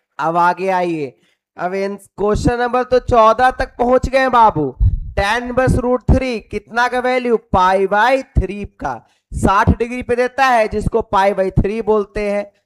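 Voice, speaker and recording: Very slowly and at a high pitch, a man speaks with ordinary pitch variation, the sound dry and close with no echo. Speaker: teacher. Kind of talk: lecture. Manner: animated.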